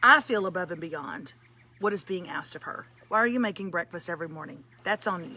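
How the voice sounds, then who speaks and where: At a very fast pace, a woman with a South Texas accent speaks at a medium pitch with lively intonation and big swings in loudness. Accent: Southern Texas. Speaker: comedian and morning show host. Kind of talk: casual live-stream chat. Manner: animated.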